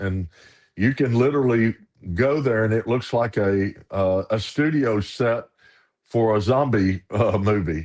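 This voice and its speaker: A man speaks in a Southern US accent at a medium pitch. His pitch varies in an ordinary way against a quiet background. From US South, Arkansas and Ruston, Louisiana. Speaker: minister. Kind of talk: casual chat.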